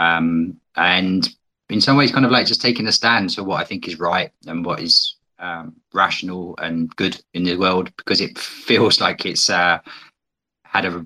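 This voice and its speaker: With a British accent, a man speaks in a very deep, low pitch with a bright, sharp tone. His pace is moderate and his pitch variation ordinary. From Britain. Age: 40s. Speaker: guest, challenge participant. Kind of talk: interview conversation, personal reflection. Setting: online audio space. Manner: reflective, hesitant.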